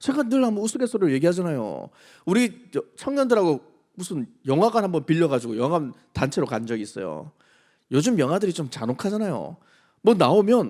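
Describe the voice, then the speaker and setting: This man speaks with a high pitch and very wide pitch swings. His fairly quick delivery comes through on a very clean recording with a silent background. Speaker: pastor. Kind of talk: sermon. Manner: animated.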